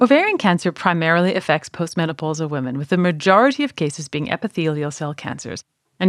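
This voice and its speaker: A woman's fairly low voice at a very fast pace with lively intonation, dry and close with no echo, on a very clean recording with a silent background. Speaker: physician. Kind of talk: solo educational talk.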